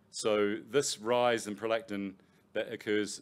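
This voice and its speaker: The speaker has a New Zealand accent. The intonation stays fairly even. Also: man. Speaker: professor. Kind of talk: lecture. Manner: halting, with many fillers and repetitions.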